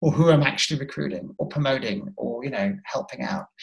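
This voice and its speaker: Somewhat breathy and fairly high-pitched, a man speaks at a fairly quick pace with lively intonation. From northern England, rural North Yorkshire. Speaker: diversity and inclusion consultant and author. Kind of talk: interview.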